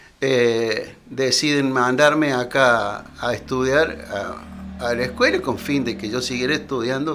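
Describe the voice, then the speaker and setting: A man with a medium-pitched voice speaks at a fairly slow pace with fairly even intonation. Music plays in the background, and audible room echo is present. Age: 70s. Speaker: retired teacher. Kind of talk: interview. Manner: halting.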